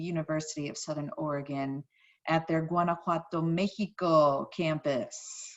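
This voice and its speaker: This woman speaks with an American accent. Her pitch is fairly low and her intonation fairly even. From US Midwest, St. Louis, Missouri. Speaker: high school Spanish teacher. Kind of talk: course introduction video for parents and students. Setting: screen-share presentation recording.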